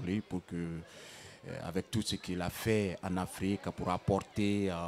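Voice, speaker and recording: Speaking fairly slowly, a man uses a very deep, low pitch with monotone, flat intonation. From Guinea. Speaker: griot. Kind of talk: interview answer.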